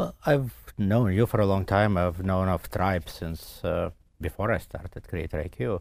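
A man's very deep, low voice with vocal fry at a moderate pace, on a very clean recording with a silent background. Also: ordinary pitch variation. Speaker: tech company CEO. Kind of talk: casual interview chat. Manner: hesitant, many fillers.

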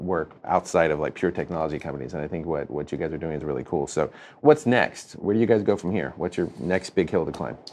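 A man with an American accent talks at a very fast pace with hardly any pauses, using a very deep, low pitch with vocal fry and ordinary pitch variation. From North Carolina, US South. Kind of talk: scripted intro narration; interview conversation. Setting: guest's office.

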